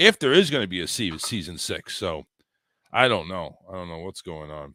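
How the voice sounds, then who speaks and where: The man's voice comes across dry and close, with no echo. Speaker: live call-in show host. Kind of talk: casual live call-in show chat. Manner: casual, repetitive stammering.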